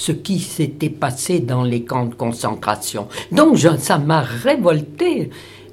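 Audible room echo follows a woman speaking at a very slow pace with very wide pitch swings. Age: 80s+. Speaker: Holocaust survivor. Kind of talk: testimony. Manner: halting.

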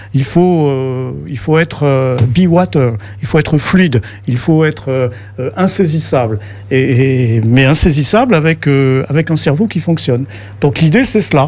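A man with a fairly high voice speaks at a fairly slow pace with lively intonation and long, frequent pauses. Noticeable noise sits in the background. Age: 60s. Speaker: activist. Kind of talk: radio interview.

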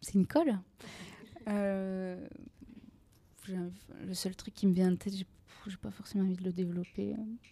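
A woman's very slow, somewhat breathy voice at a medium pitch, with a dark, mellow tone, fairly even intonation, big swings in loudness and long, frequent pauses. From Aveyron, southern France (Rodez). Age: 20s. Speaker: freelance journalist and podcaster. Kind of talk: interview.

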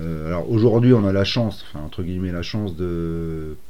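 Here a man speaks at a very deep, low pitch in a dark, mellow tone. Audible echo fills the room. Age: 40s. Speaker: youth training coordinator. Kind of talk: interview. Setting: training centre premises. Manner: hesitant, many fillers.

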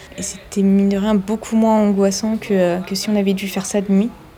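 Over noticeable background noise, a woman speaks at a moderate pace in a medium-pitched, monotone voice with flat intonation. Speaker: ship nurse. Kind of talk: testimony.

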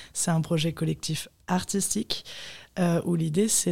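A woman's fairly low, somewhat breathy voice with a dark, mellow tone, fairly even intonation, and a fairly slow pace. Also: very clean recording, silent background. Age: 20s. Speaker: photographer. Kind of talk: interview. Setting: studio.

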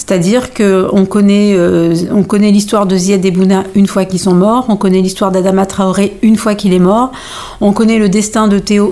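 A plain, everyday voice speaks at a moderate pace with very even loudness. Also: woman. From Normandy (Pays de Caux) with Malian heritage. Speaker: playwright and stage director. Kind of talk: interview.

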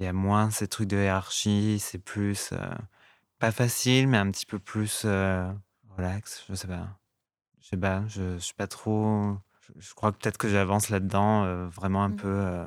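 On a very clean recording with a silent background, a man speaks fairly slowly at a fairly low pitch in a monotone, flat intonation. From France, Lot (southwest). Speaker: fashion stylist. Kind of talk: interview. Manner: halting, many hesitations.

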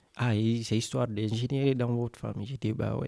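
Here a man speaks in a dark, mellow tone. His intonation stays fairly even. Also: very clean recording, silent background. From West Africa (Senegal/Guinea). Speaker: radio workshop participant. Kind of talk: casual storytelling; mock TV debate hosting.

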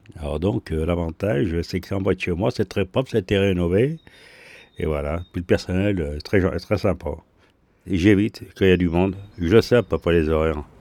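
At a moderate pace with long, frequent pauses, a man talks in a dark, mellow tone with very deep, low pitch and ordinary pitch variation, recorded dry and close with no echo. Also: very clean recording, silent background. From Lyon, France. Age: 60s. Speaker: retiree, bath-house user. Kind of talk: interview.

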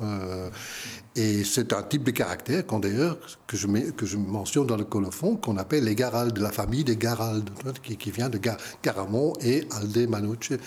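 A man speaks at medium pitch and a fairly slow pace with a Dutch accent. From Flanders, Belgium. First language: Dutch (speaking French). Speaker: book publisher. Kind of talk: interview. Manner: halting, many repetitions and fillers.

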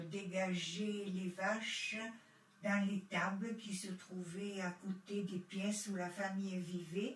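Over noticeable background noise, a woman at medium pitch talks at a very slow pace with monotone, flat intonation. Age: 70s. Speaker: witness, granddaughter of Italian immigrant. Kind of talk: testimony.

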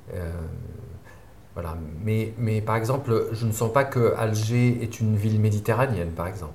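Audible room echo surrounds a man with a fairly low pitch. His pitch varies in an ordinary way. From Algeria, near Algiers. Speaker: film director. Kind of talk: interview. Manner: halting.

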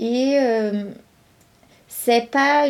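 Her tone dark and mellow, a woman speaks with a Brazilian accent and fairly even intonation. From Brazil, São Paulo state (São Carlos). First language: Brazilian Portuguese (speaking French). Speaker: visual and performance artist. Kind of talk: interview testimony.

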